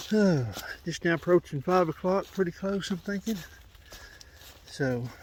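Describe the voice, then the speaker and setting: Loud and high-pitched for a man, his voice moves at a moderate pace with ordinary pitch variation. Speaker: hiking vlogger. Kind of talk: vlog narration while hiking. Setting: outdoors on a trail. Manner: soft-spoken usually; loud in the woods.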